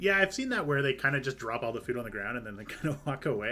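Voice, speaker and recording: With a Canadian accent, a man speaks at medium pitch in a bright, sharp tone. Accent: Canadian, says 'eh' at sentence ends. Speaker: video game streamer. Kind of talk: casual live-stream chat. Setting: live stream.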